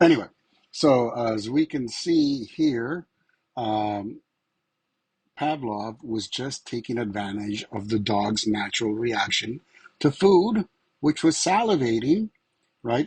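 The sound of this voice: Speaking slowly at a medium pitch, a man uses lively intonation, his slightly mellow tone carrying a slightly husky edge.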